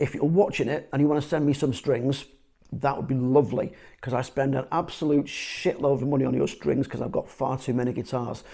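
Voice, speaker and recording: A man speaks at a fairly quick pace with vocal fry. His tone is dark and mellow. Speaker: gigging musician and guitar reviewer. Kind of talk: casual video review. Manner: casual, hesitant with fillers.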